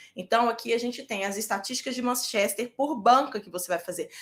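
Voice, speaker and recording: Fairly quick delivery with a bright, sharp tone and lively intonation. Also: woman. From Brazil, Minas Gerais. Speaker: medical residency exam prep teacher. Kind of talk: live online class. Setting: live stream with chat. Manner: animated.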